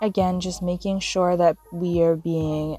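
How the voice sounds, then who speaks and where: Over background music, a woman speaks with a fairly low pitch and fairly even intonation. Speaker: nail technician. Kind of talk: tutorial voiceover. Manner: flat, low-energy.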